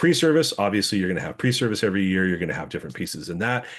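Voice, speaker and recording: Very wide pitch swings and vocal fry mark this voice, heard over a quiet background. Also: man. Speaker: webinar presenter. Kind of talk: webinar presentation. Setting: online webinar. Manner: fast.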